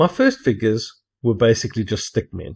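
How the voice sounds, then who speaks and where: A somewhat breathy voice speaks with a South African accent. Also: man. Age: 50s. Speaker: hobby cartoonist. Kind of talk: narrated video introduction.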